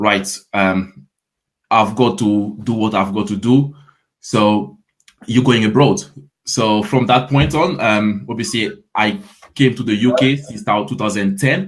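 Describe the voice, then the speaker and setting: A man with a French accent, fairly low pitch and ordinary pitch variation, at a fairly slow pace with long, frequent pauses. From Ivory Coast. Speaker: fitness coach. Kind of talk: interview. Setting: live stream.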